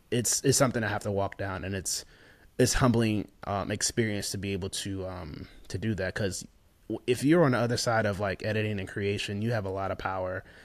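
A man with an American accent speaks at a fairly quick pace in a fairly low pitch, his intonation fairly even and his voice unremarkable, on a very clean recording with a silent background. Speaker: visual storyteller and videographer. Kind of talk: interview.

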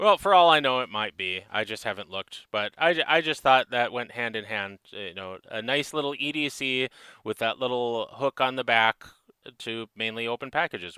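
A man with a Minnesotan accent and a bright, sharp tone speaks at a moderate pace in a medium pitch, with lively intonation and big swings in loudness, on a very clean, dry, close recording with no echo and a silent background. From northern Minnesota. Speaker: knife maker. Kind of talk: casual chat.

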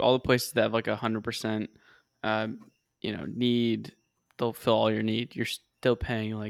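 A man's ordinary speaking voice at medium pitch and a moderate pace, with fairly even intonation and a dry, close sound with no echo. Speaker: podcast host. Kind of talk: casual chat.

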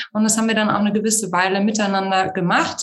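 Very fast, somewhat breathy speech with ordinary pitch variation and audible room echo. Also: woman. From Germany, Munich. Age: 30s. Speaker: founder of a women's network. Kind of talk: interview. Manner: hesitant, many fillers.

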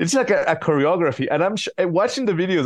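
The voice has a Spanish accent. Its intonation is lively. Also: man. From Ecuador. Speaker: comedian and journalist. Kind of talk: casual interview.

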